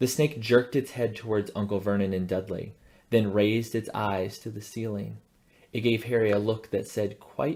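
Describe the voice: With fairly even intonation, the speaker does plain reading aloud.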